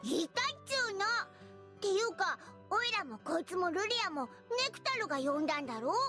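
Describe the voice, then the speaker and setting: Clear music plays in the background as a put-on character voice speaks at a moderate pace. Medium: fan dub. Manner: casual, gruff, quick.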